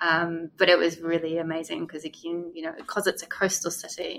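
A fairly low-pitched woman's voice, monotone and flat in intonation, at a fairly quick pace. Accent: New Zealand. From New Zealand. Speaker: former English teacher in Korea. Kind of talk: casual interview chat. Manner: hesitant, filler-heavy.

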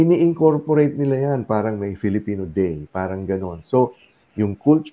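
Lively intonation at a moderate pace. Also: man. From Philippines, Zamboanga, Mindanao. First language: Chabacano (speaking Tagalog). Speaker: community radio host. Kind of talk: interview; show announcement.

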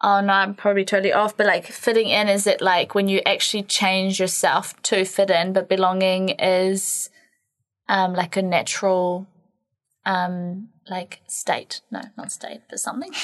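With a New Zealand accent, a woman speaks at a moderate pace in a monotone, flat intonation against a quiet background. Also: medium pitch for a woman. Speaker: podcast co-host, women's health and fitness. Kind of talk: casual chat. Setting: studio.

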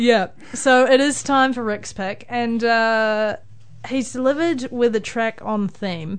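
A woman speaks at a very slow pace. She has a New Zealand accent. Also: fairly high pitch for a woman, ordinary pitch variation. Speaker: radio host. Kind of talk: casual chat. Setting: studio.

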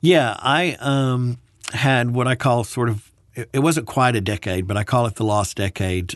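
A man speaks with an American accent at a moderate pace, in an ordinary speaking voice. His pitch varies in an ordinary way over a quiet background. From US South, Birmingham, Alabama. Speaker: military veteran. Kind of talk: interview.

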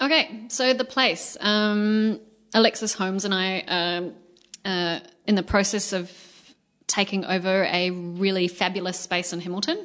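A woman speaks at a medium pitch with ordinary pitch variation. Her pace is fairly slow, and the background is quiet. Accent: Australian. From Australia. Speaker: musical theatre singer and performer. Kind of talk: interview conversation.

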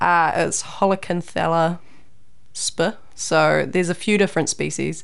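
With a New Zealand accent, a woman speaks at a fairly slow pace. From New Zealand, Raglan. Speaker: PhD student and scientist. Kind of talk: interview.

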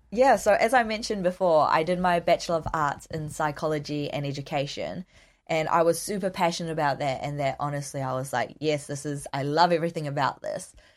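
In a New Zealand accent, the speaker moves at a fairly quick pace with hardly any pauses and ordinary pitch variation, on a very clean recording with a silent background. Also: woman, very deep, low pitch for a woman. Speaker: counselling student. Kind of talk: interview.

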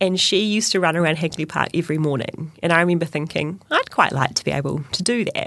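Talking at a very fast pace with hardly any pauses, a woman with a New Zealand accent keeps a fairly low pitch and ordinary pitch variation. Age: 30s. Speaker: runner and teacher. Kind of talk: interview.

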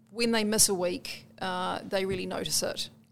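Monotone, flat speech in a New Zealand accent on a very clean recording with a silent background. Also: woman. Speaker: community librarian. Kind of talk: interview.

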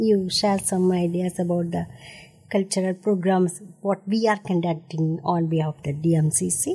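A woman with an Indian accent speaks at a fairly slow pace in a dark, mellow, somewhat breathy tone. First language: Tamil. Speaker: radio host. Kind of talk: radio interview. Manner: halting.

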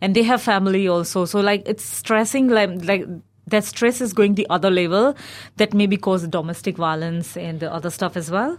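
A woman's medium-pitched voice with an Indian accent, ordinary pitch variation and a moderate pace, on a very clean recording with a silent background. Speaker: recent finance graduate, migrant. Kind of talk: radio discussion. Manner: halting, many fillers.

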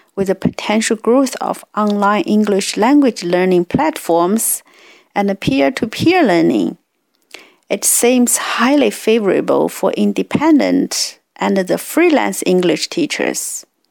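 Speaking at a fairly slow pace with a Chinese accent, a woman uses medium pitch and very wide pitch swings, recorded with a dry, close sound and no echo. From China. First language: Mandarin Chinese. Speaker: community radio host. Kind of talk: radio talk presentation.

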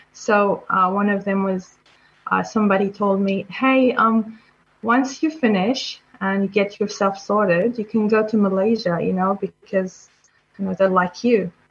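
In an Arabic accent, a woman of medium pitch speaks at a fairly slow pace with fairly even intonation. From Syria. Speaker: software developer. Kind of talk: interview. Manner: halting.

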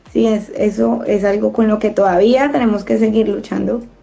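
Noticeable background noise sits behind a woman's voice. She speaks at a fairly high pitch and a moderate pace. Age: 30s. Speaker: community radio host. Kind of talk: casual discussion.

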